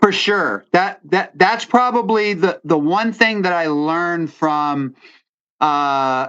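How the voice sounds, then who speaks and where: Speaking at a very slow pace, a man uses a high pitch, a bright, sharp tone and lively intonation. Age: 60s. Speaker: outdoor TV host and bear hunter. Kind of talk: casual chat. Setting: podcast. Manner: halting, many restarts.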